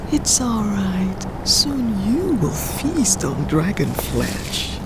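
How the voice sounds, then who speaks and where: Put-on character voice at a very slow pace amid loud background noise. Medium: audio drama. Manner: level, calm, honeyed crooning.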